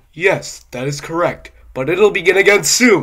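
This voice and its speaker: Here a man puts on a character voice, pitched high. He keeps a moderate pace. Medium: read story. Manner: fussy, petulant.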